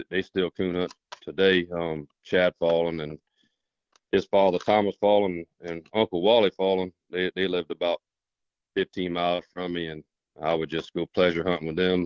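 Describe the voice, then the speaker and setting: At a moderate pace, a man delivers his words in a very deep, low pitch with monotone, flat intonation. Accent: American. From South Carolina, near Charleston. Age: 40s. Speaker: coonhound handler. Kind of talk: interview. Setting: phone call. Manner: halting, repeats words.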